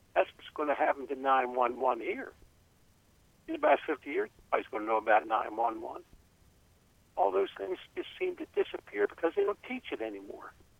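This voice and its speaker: With an American accent, a man speaks at a moderate pace, his loudness swinging widely and his speech broken by long, frequent pauses. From Maryland. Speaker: caller. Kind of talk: casual chat. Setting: phone call.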